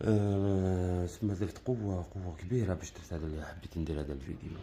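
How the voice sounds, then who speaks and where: A soft-spoken man talks at a fairly low pitch. His tone is dark and mellow, and somewhat breathy. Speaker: bird keeper asking for help. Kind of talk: appeal for help. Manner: halting.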